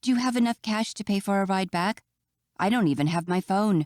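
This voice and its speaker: Someone performs a put-on character voice at middle pitch and a fairly quick pace. The recording is very clean with a silent background. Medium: read story. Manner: fidgety and emotional.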